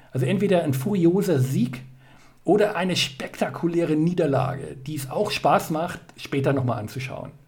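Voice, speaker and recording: A man's fairly high-pitched voice is heard with music in the background. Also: ordinary pitch variation, moderate pace. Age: 40s. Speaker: life coach. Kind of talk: interview. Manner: halting.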